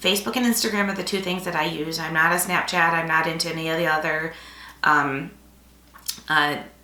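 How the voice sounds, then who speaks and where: With noticeable background noise and audible room echo, a woman with a fairly low pitch speaks at a fairly quick pace, broken by long, frequent pauses. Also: ordinary pitch variation. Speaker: paper crafting YouTuber. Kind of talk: casual vlog talk to camera. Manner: rambling with fillers.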